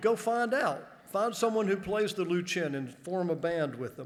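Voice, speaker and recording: There is audible room echo as a high-pitched man talks at a moderate pace with ordinary pitch variation. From US South, northern Georgia. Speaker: college administrator. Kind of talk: convocation speech. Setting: stage with audience. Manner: humorous, conversational.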